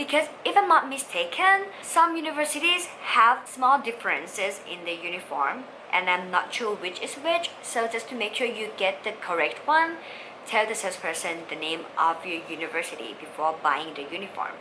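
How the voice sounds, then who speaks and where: Speaking with a Thai accent at a moderate pace, a woman uses a fairly high pitch with very wide swings, amid noticeable background noise and audible room echo. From Thailand. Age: 20s. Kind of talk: tutorial.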